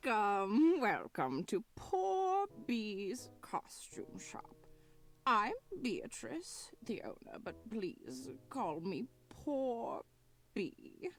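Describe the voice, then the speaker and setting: A female-sounding put-on character voice is pitched fairly high for a woman. It speaks at a very slow pace. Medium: video game. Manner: doddering, self-pitying.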